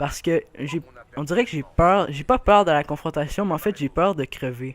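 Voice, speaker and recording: Moderate-paced speech from a man with a fairly high pitch. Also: very clean recording, silent background. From Quebec. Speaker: gaming youtuber. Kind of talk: gameplay commentary. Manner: hesitant, many fillers.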